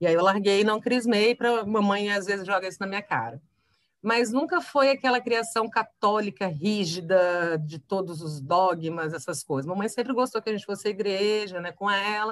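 A woman's normal speaking voice at medium pitch, moderate in pace with ordinary pitch variation, on a very clean recording with a silent background. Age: 40s. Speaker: journalist. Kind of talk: casual chat.

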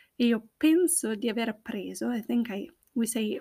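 A woman's high-pitched voice at a fairly slow pace, lively intonation, on a very clean recording with a silent background. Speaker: Italian language teacher podcaster. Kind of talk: language lesson monologue, Italian with English explanations. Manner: slow, deliberate.

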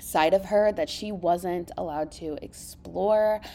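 A woman's animated tone. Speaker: book podcast host. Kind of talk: casual book review chat.

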